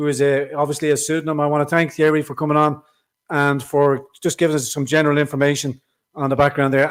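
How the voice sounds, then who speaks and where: With an Irish accent, a man talks at a very fast pace and fairly high pitch on a very clean recording with a silent background. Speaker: political podcast host. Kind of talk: live stream chat.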